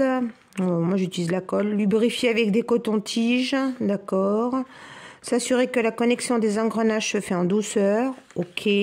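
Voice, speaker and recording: A woman's fairly slow speech with fairly even intonation over noticeable background noise. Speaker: crafts YouTuber. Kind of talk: tutorial. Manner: casual, chatty.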